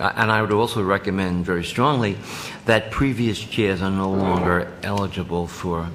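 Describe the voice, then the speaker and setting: A man with a New Jersey accent speaks at a very deep, low pitch, with audible room echo and noticeable background noise. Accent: Jersey City. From New Jersey, Jersey City. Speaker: committee chair. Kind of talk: committee meeting discussion.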